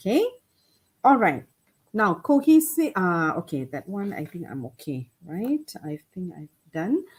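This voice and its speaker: Woman's somewhat breathy voice with very wide pitch swings and a fairly slow pace. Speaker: lecturer on English exam writing. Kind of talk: webinar lecture. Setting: online webinar. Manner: soft-spoken.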